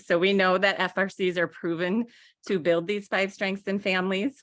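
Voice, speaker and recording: Her voice sits at a medium pitch for a woman. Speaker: early childhood services presenter. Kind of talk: slide presentation at online council meeting. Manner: fast.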